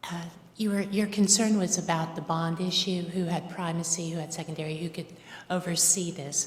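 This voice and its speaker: Over noticeable background noise, the speaker keeps a moderate pace with monotone, flat intonation. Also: woman, fairly low pitch for a woman. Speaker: public commenter. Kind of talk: public comment at county meeting. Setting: county commission board room. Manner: hesitant with fillers.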